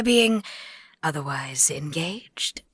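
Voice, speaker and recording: A woman with a British RP accent speaks with lively intonation. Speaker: voice actor. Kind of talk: audiobook narration.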